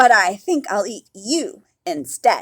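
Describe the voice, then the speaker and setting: Putting on a growling character voice, a woman speaks at a fairly slow pace with a high pitch and very wide pitch swings. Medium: read story.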